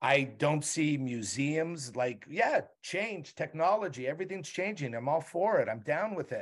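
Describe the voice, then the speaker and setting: A man talks at a moderate pace in a fairly high pitch with lively intonation, a normal speaking voice. The recording is very clean with a silent background. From Montreal, Canada. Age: 60s. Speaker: TV writer and showrunner. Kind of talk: casual interview.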